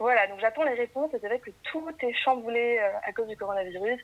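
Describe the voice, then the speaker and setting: A woman's ordinary speaking voice, fairly high in pitch, with ordinary pitch variation and a fairly quick pace. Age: 20s. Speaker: guest on confinement podcast. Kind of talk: casual chat.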